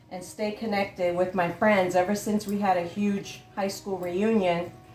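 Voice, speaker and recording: A woman talks at a fairly slow pace, her voice carrying audible room echo amid noticeable background noise. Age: 60s. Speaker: cooking channel host. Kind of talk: casual cooking tutorial. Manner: chatty, animated.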